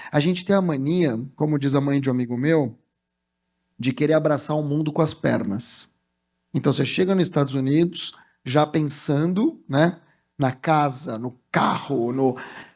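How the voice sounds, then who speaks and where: In a very clean recording with a silent background, a man speaks fairly slowly in a fairly high, animated tone. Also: ordinary pitch variation. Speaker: communication strategist and speaker. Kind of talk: motivational talk.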